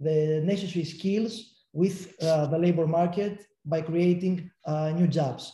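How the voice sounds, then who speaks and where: In a Greek accent, a man speaks very slowly with a dark, mellow tone, a high pitch and fairly even intonation. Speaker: city tourism agency official. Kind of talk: panel discussion. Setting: video call.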